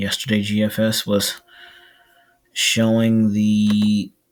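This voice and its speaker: Over music in the background, a man with a fairly low pitch speaks at a very slow pace in a monotone, flat intonation. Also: long, frequent pauses, very even loudness. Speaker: weather video creator. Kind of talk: casual weather update. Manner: soft-spoken; halting.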